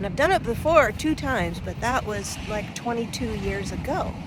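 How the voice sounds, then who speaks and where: Noticeable background noise runs under the voice. The speech moves at a moderate pace with ordinary pitch variation. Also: woman. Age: 60s. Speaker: vlogger on midlife. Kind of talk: casual vlog.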